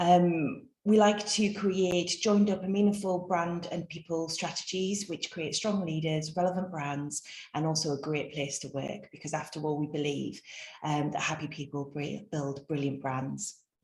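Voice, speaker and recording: Speaking at a moderate pace with a North East England accent, a woman has a very deep, low voice and ordinary pitch variation. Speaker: webinar host, business consultant. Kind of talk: webinar introduction. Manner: hesitant, many fillers.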